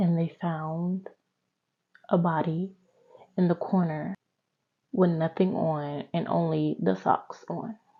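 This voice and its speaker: A woman speaks very slowly in a fairly low, somewhat breathy voice with fairly even intonation and long, frequent pauses. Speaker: true crime youtuber. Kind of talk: casual storytelling. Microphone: new mic, talking quietly.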